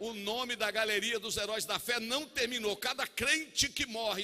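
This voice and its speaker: A man's raised, projected voice at a moderate pace. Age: 50s. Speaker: pastor. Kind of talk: sermon. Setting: church. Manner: animated.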